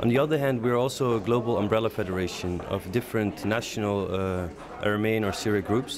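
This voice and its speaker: A man's fairly low voice with a Middle Eastern accent, very fast, ordinary pitch variation, amid noticeable background noise and audible room echo. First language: Aramaic. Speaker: leader of an advocacy organization. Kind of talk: interview. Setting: conference break. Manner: hesitant, many fillers.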